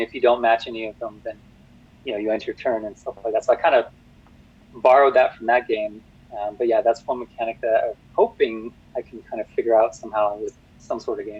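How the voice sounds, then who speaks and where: A man talks at a very fast pace. His loudness swings widely. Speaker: board game designer. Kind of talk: interview. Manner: hesitant, many fillers.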